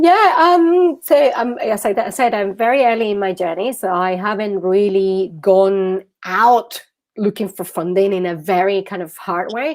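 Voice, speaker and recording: At a fairly slow pace, a woman speaks at a medium pitch with lively intonation. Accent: Venezuelan. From Venezuela. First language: Spanish. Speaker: social entrepreneur, founder. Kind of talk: interview. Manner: halting, many fillers and repetitions.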